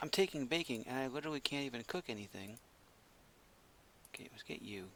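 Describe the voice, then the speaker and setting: The delivery is very fast with lively intonation, yet broken by long, frequent pauses. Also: man. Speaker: gaming YouTuber. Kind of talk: gameplay commentary. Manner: low energy.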